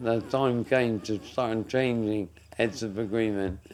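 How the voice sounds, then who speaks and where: Noticeable background noise sits behind a man talking at a very slow pace. His pitch is medium, with ordinary variation. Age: 70s. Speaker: entrepreneur and food producer. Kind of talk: podcast interview. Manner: halting.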